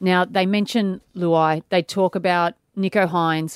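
A woman with an Australian accent at a medium pitch and moderate pace, in a dry, close sound with no echo and a very clean recording against a silent background. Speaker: radio co-host and author. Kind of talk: casual radio banter. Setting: radio studio.

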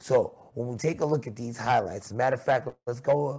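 A man with an American accent speaks at a medium pitch with ordinary variation. His voice is somewhat breathy, with a dark, mellow tone. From Queens, New York. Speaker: basketball coach and podcast host. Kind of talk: sports commentary podcast.

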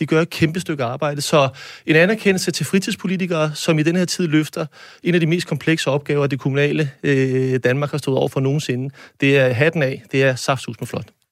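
Heard on a very clean recording with a silent background, a man with an unremarkable speaking voice uses a fairly high pitch, ordinary pitch variation, and a moderate pace. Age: 40s. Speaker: mayor. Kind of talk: panel discussion. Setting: studio.

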